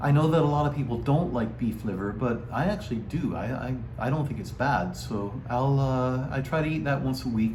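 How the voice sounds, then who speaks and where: Amid noticeable background noise, a man of medium pitch speaks at a moderate pace with ordinary pitch variation and hardly any pauses. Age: 60s. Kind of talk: casual talk to camera.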